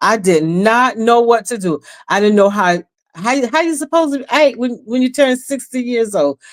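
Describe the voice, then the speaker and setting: A woman sounds animated, with lively intonation and a fairly high pitch, speaking at a moderate pace on a very clean recording with a silent background. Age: 60s. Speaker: inspirational live streamer. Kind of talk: casual monologue. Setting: live stream.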